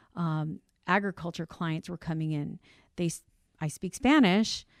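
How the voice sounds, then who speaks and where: With an American accent and a normal speaking voice, a woman speaks at a fairly slow pace and fairly low pitch in a very clean recording with a silent background and a dry, close sound with no echo. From Cuban family, raised on US East Coast. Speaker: insurance brokerage CEO. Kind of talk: interview conversation.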